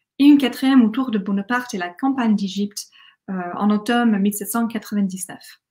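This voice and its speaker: A woman's fairly high voice in an English accent, with ordinary pitch variation, a fairly quick pace and a quiet background. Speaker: academic conference speaker; conference speaker. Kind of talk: academic conference talk. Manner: hesitant, with fillers and restarts. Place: home room. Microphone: webcam.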